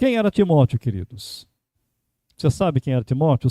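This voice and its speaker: Very wide pitch swings run through a dark, mellow tone. The recording is very clean and dry, close with no echo, over a silent background. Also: man. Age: 60s. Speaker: pastor. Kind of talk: sermon.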